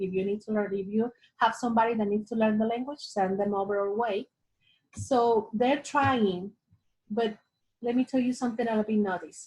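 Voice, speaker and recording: A woman speaks with a Spanish accent at a fairly high pitch and a moderate pace. Her voice is somewhat breathy, with fairly even intonation. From Latin America. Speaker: ESL teacher. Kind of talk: interview.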